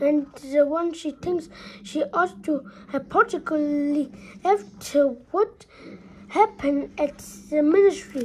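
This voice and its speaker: A woman uses a put-on character voice pitched high. She talks at a fairly slow pace with long, frequent pauses. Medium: read story. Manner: brisk, formal.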